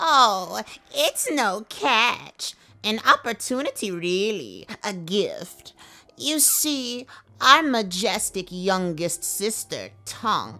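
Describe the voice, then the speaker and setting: A female-sounding, put-on character voice speaks at a very slow pace. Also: fairly high pitch for a woman. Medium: audio drama. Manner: grand, theatrical.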